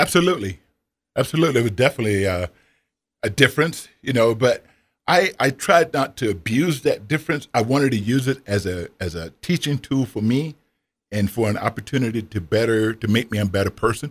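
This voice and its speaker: A plain, everyday voice from a man with an American accent, medium in pitch and fairly quick, with lively intonation and a very clean recording with a silent background. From US South. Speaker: retired former college basketball player and author. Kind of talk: interview. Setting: radio studio.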